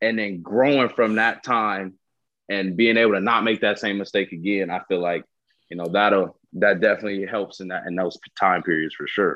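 A man with an American accent speaks at a moderate pace in an unremarkable speaking voice. His pitch is fairly low, and his intonation is fairly even. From Southern California. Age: 20s. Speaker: professional football player. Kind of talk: casual interview.

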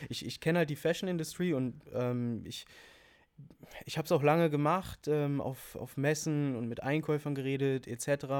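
A man's fairly high voice at a moderate pace, with fairly even intonation, on a very clean recording with a silent background. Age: 20s. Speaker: fashion store owner. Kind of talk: casual chat. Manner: halting, many fillers.

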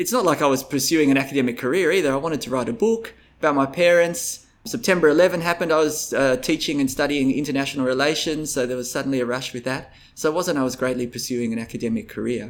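A man's fairly high voice with an Australian accent, very fast with hardly any pauses and ordinary pitch variation. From Vietnam, raised in Canberra, Australia. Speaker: radio presenter and university academic. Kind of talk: casual interview. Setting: tennis club.

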